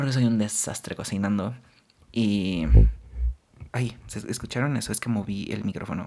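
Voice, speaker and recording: A man with a Mexican accent speaks at a moderate pace and fairly low pitch, with fairly even intonation and long, frequent pauses. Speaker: podcast host. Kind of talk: casual monologue.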